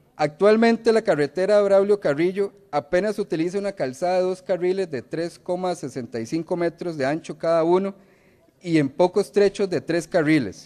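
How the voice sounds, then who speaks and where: At a moderate pace, a man speaks in a high pitch and a dark, mellow tone over a quiet background. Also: ordinary pitch variation. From Costa Rica, Limón province. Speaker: legislator. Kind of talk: parliamentary speech. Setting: legislative chamber. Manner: formal. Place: hall. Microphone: podium.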